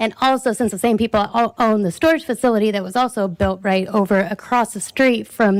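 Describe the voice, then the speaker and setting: Recorded very cleanly against a silent background, a woman speaks fairly quickly with ordinary pitch variation. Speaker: resident speaking at public comment. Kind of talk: public comment at city council meeting. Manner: fast.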